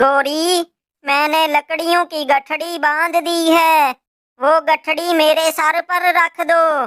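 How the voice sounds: An extremely high-pitched cartoonish character voice from a woman, monotone and flat, at a very slow pace, with a dry, close sound and no echo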